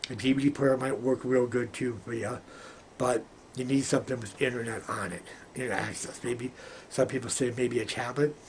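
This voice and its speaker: Medium-pitched male speech at a fairly quick pace over noticeable background noise. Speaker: vlogger giving home tech tips. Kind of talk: casual tutorial. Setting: home video recording with ring light. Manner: fast; repetitive, with false starts.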